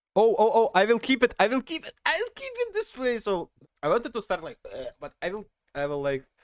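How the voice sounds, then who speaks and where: A man with a non-native accent speaks at a fairly quick pace in an animated tone. His loudness swings widely, and the sound is dry and close with no echo. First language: not English. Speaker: streamer. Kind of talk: casual livestream chat.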